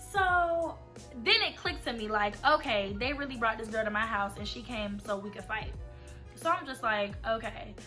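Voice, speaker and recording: There is music behind the voice. The woman talking keeps a moderate speed. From Atlanta, Georgia. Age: 20s. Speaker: college student. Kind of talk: casual storytime talk to camera.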